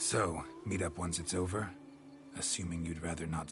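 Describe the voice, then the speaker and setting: Over clear music in the background, a man puts on a character voice with a very deep, low pitch at a moderate pace. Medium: video game. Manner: terse, dry.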